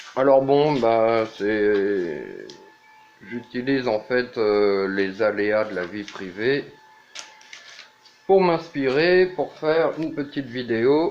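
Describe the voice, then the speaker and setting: Over music in the background, a man of medium pitch speaks with lively intonation at a very slow pace, leaving long, frequent pauses. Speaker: vlogger. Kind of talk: casual monologue vlog. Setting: at home, walking the dog in the rain. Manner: hesitant, many fillers.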